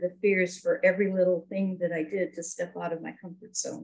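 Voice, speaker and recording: Somewhat breathy and medium-pitched, a woman speaks at a fairly quick pace in a monotone, flat intonation. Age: 60s. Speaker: network marketing business member. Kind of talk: interview.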